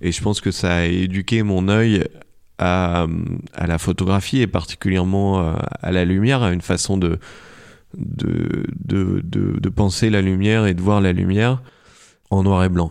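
Against a quiet background, a man with a very deep, low pitch speaks at a fairly slow pace with fairly even intonation and long, frequent pauses. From France, countryside. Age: 30s. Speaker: photographer and film director. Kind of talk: casual chat. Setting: home recording studio. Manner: halting, many fillers and repetitions.

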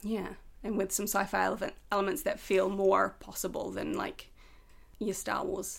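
Speaking with a New Zealand accent, a woman moves at a fairly slow pace. She leaves long, frequent pauses. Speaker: writer and actor. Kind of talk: casual chat.

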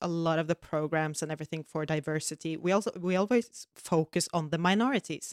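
In a Norwegian accent, a woman speaks at a fairly quick pace with a fairly low pitch. Her pitch variation is ordinary, and the sound is dry and close with no echo. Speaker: podcast co-host. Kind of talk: casual chat.

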